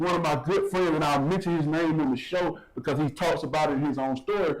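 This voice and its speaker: In a Southern US accent, the voice holds very even loudness and fairly even intonation against noticeable background noise. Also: man, fairly high pitch for a man. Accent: Southern drawl. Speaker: talk show host and minister. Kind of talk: panel discussion, testimony. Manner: fast.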